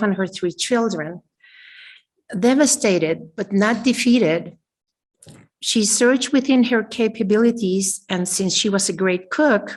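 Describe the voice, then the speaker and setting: The speech is somewhat breathy, fairly slow in pace and ordinary in pitch variation. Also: woman. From Mexico, San Miguel de Allende. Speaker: business owner. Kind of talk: prepared speech read aloud. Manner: halting.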